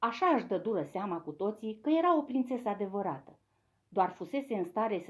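Intonation here is lively, in an unforced reading voice. Little can be heard behind it.

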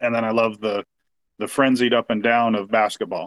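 A man speaks at a moderate pace with a medium pitch. The sound is dry and close, with no echo. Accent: West Coast US. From US Pacific Northwest, Portland, Oregon. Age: 40s. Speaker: sports fan. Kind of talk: casual chat.

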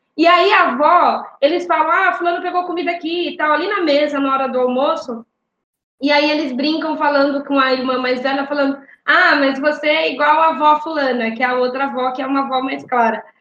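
Her pitch high and ordinarily varied, a woman talks at a fairly quick pace. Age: 30s. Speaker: city council candidate. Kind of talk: interview.

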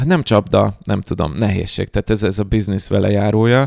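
A man's voice comes through a very clean recording with a silent background, dry and close with no echo. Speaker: data science educator. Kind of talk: casual chat.

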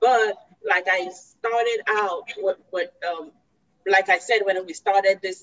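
Here a woman speaks at a very slow pace. Her pitch is medium. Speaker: regional coordinator and event moderator. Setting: video call.

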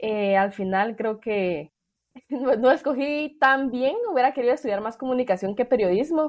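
A woman with a high pitch uses lively intonation while speaking at a moderate pace. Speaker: podcast host. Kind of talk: interview.

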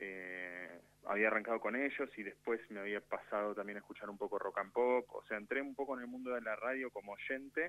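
A man in a Rioplatense accent, medium pitch with ordinary pitch variation, fairly quick pace and hardly any pauses. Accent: Argentine Spanish (rioplatense). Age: 30s. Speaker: radio producer. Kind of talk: casual chat.

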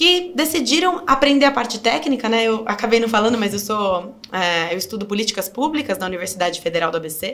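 Lively intonation marks a woman's fairly high-pitched delivery in a normal speaking voice. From Brazil, Sorocaba (São Paulo state). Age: 20s. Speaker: political candidate. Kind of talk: interview.

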